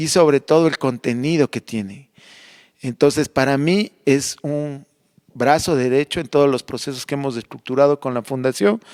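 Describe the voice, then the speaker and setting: In an ordinary speaking voice, a man speaks at a fairly high pitch with ordinary pitch variation, the sound dry and close with no echo. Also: moderate pace. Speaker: heritage conservator. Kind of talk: radio interview. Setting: recorded in a convent library.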